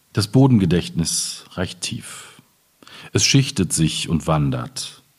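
A man speaks very slowly in a very deep, low voice. His pitch swings very widely. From Ruhr area, eastern edge near Hamm. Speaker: poet. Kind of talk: reading aloud; public conversation.

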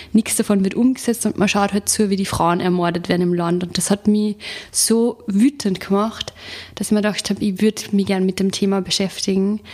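A woman with an Upper Austrian accent at medium pitch, fairly quick pace and fairly even intonation, over noticeable background noise. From Upper Austria, rural. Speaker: novelist and journalist. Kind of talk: interview.

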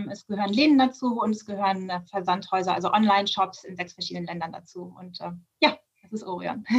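A woman's somewhat breathy voice at a very fast pace, medium in pitch, with ordinary pitch variation and big swings in loudness. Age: 40s. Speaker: managing director of a family business. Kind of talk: interview.

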